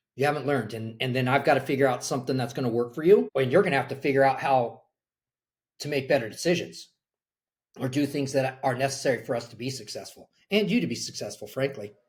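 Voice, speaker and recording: Speaking with an American accent, a man talks at a very fast pace and a medium pitch, his voice somewhat breathy. His pitch variation is ordinary, while his loudness swings widely. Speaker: college soccer coach. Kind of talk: podcast interview.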